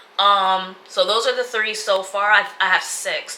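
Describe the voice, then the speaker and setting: Noticeable background noise fills the recording. A woman talks at a fairly slow pace. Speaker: lifestyle vlogger. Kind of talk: casual vlog talk to camera. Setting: home sit-down video.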